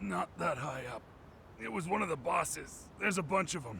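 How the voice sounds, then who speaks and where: A man's raspy, put-on character voice at medium pitch, with very wide pitch swings, a moderate pace and clear background noise. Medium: video game. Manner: casual, slangy.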